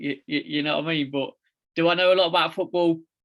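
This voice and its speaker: A man speaks very fast in an East Midlands accent. His pitch is fairly high, with ordinary variation. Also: very clean recording, silent background. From England, East Midlands (near Leicester). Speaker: founder of a fathers' advocacy group, podcast guest. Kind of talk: casual chat.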